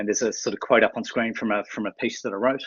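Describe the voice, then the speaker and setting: This is a man speaking. He talks with an Australian accent. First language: sign language. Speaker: university administrator. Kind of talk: webinar presentation. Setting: online webinar. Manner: mumbles sometimes; halting, many fillers.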